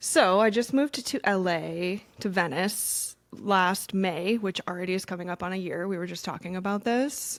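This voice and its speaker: A woman's animated voice at medium pitch, moderate in pace with ordinary pitch variation and hardly any pauses. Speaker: wellness coach and content creator. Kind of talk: casual chat.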